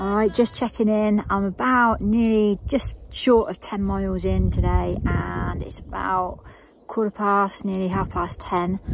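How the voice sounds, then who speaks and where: Against noticeable background noise, a woman talks at a fairly slow pace in a dry sound with no echo. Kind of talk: casual vlog chat. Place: open country. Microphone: phone near.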